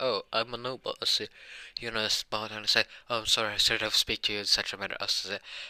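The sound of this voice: Here is an unforced reading voice. The intonation stays fairly even.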